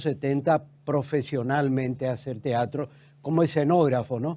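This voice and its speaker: The man's voice has a dark, mellow tone and a fairly high pitch. He speaks at a moderate pace with ordinary pitch variation. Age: 80s+. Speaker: architect, theatre director and actor. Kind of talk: TV interview. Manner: calm, serene.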